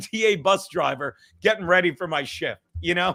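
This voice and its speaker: A man uses a raised, projected voice with a bright, sharp tone and ordinary pitch variation. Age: 50s. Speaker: comedian. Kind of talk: casual chat. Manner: fast; loud.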